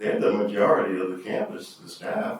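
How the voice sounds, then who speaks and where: Audible room echo surrounds a man as he speaks. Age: 60s. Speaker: school board trustee. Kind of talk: public meeting discussion. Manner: halting.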